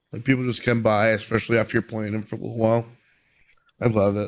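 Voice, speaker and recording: This is a man speaking at a medium pitch. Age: 20s. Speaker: streamer. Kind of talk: casual chat.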